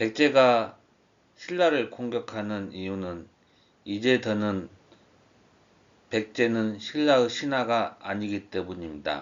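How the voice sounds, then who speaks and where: Very slow in pace with long, frequent pauses, a man speaks at a medium pitch with lively intonation. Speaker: civil servant and amateur history lecturer. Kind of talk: narrated lecture. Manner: formal.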